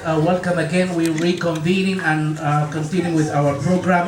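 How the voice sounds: The room echo is audible as a man speaks. His pitch is fairly high and his intonation fairly even.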